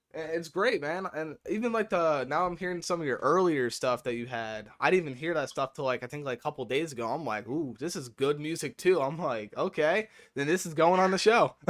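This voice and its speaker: On a very clean recording with a silent background, a man with a normal speaking voice and a fairly high pitch talks at a fairly quick pace with lively intonation. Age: 20s. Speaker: radio DJ. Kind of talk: interview.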